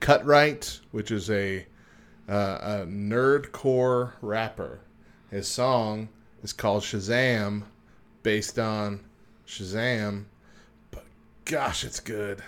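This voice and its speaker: Gravelly and fairly even in intonation, a man speaks at a very slow pace. He leaves long, frequent pauses. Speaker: podcast co-host. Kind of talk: casual chat.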